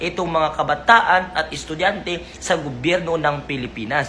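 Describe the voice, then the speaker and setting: The speech goes at a fairly slow pace against noticeable background noise. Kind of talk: rally speech, defensive public statement to camera. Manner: earnest, indignant, insistent; formal and polite, repeating 'po', emphatic.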